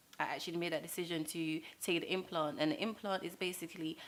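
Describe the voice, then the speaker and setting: A woman has a plain, everyday voice at a medium pitch. Her pace is fairly quick. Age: 20s. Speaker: young mother. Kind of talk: testimony.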